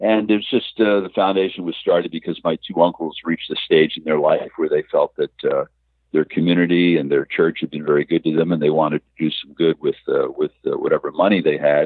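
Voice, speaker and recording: The speaker has an American accent. The pace is fairly quick, with hardly any pauses. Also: man. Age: 60s. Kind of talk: interview. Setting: remote call.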